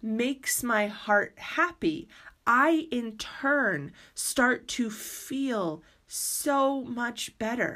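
High pitch and lively intonation from a woman. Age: 40s. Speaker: podcast host. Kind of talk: personal monologue podcast.

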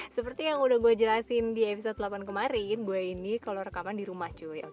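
Pitched fairly high, a woman talks in a plain, everyday voice with ordinary pitch variation. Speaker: solo podcaster. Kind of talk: reading aloud; casual monologue. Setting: in a car.

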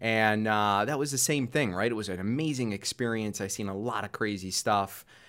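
This man has an ordinary speaking voice, pitched fairly low, with ordinary pitch variation. He keeps a moderate pace in a very clean recording with a silent background. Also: hardly any pauses. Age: 30s. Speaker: real estate investor. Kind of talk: interview. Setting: studio.

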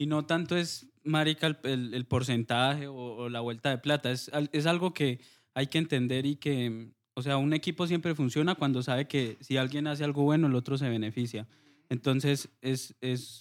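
A man speaks with a Huila Colombian accent. His pitch is fairly high and his intonation fairly even. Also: moderate pace. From Colombia, Huila. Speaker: music producer and sound engineer. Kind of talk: casual interview.

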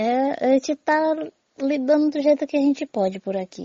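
Here, a woman is talking. Her pace stays moderate. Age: 40s. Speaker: community leader. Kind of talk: testimony. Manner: halting.

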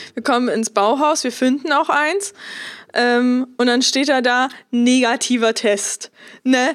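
Very slowly, a woman talks at a high pitch with ordinary pitch variation. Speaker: podcast co-host, model. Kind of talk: casual chat.

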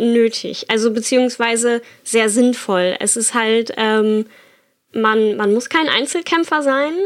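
Her voice high, a woman speaks at a very slow pace. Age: 20s. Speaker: bone cancer survivor and rider. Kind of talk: personal testimony.

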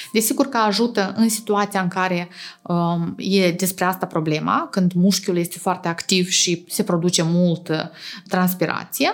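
It is an ordinary speaking voice. The delivery comes at a moderate speed. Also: woman. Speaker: oral and facial aesthetic surgeon. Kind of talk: interview.

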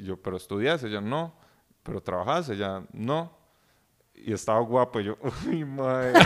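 Speaking at a moderate pace with long, frequent pauses, a man with a Costa Rican accent uses a medium pitch and lively intonation. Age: young. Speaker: podcast guest. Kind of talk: casual chat.

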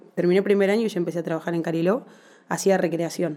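A woman's very fast speech at a medium pitch, with fairly even intonation and a dark, mellow tone. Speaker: personal trainer and physical education teacher. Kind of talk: interview.

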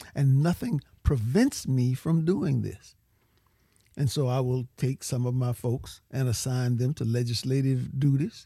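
In a Louisiana accent, a man speaks with a dark, mellow tone at a medium pitch. His voice is somewhat breathy and his intonation fairly even. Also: fairly slow pace. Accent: Louisiana Southern US. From Louisiana, Cajun country. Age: 70s. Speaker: political candidate. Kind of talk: interview.

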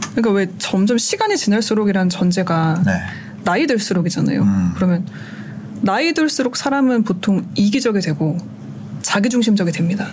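A woman speaks at a fairly quick pace with lively intonation and very even loudness, her pitch medium. Noticeable background noise sits behind her. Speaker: radio producer and DJ, now guest. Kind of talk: casual interview conversation.

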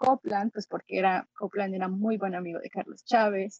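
The sound is dry and close with no echo as a woman speaks in a somewhat breathy way. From Mexico, Xalapa, Veracruz. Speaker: pianist and musicologist. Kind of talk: interview.

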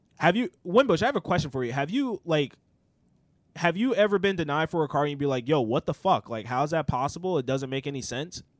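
A man with an ordinary speaking voice, fairly high in pitch, talks at a fairly quick pace with lively intonation on a very clean, dry, close recording with no echo and a silent background. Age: 30s. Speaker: podcast host. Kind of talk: casual chat.

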